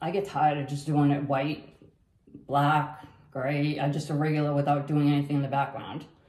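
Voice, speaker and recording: A woman speaks at a moderate pace in a very deep, low pitch with a dark, mellow tone. Room echo is audible. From Massachusetts. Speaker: fluid art painter; fluid art creator. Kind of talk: painting tutorial. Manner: casual, halting with many fillers. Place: home room.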